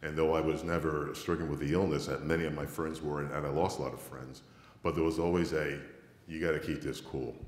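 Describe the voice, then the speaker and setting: A man with a very deep, low pitch and vocal fry speaks at a fairly quick pace in a monotone, flat intonation. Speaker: flight test manager. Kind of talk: conference panel discussion. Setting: stage with audience.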